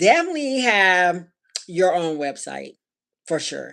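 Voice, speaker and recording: With a Southern US accent, a woman speaks at a fairly low pitch. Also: very clean recording, silent background. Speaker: handcrafted accessories designer and small business owner. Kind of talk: live stream vlog talk to viewers. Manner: casual, hesitant with fillers; Southern slur per husband.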